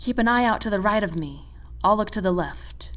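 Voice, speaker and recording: A female-sounding voice performs a put-on character voice at a fairly quick pace. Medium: read story. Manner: cool, steady.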